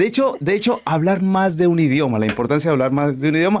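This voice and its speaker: A man with a Colombian accent at a fairly quick pace, with very wide pitch swings. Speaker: podcast host. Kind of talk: casual chat.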